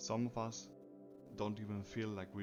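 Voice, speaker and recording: Over music in the background, a man with a non-native accent speaks at a moderate pace. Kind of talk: personal reflective monologue.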